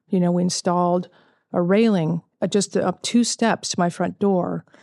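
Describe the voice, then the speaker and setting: Moderately paced speech with a Californian accent, very even in loudness and fairly even in intonation, dry and close with no echo against a quiet background. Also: woman, fairly low pitch for a woman. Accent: Californian American. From Southern California. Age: 40s. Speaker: cancer survivor and author. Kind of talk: interview testimony. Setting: outdoors.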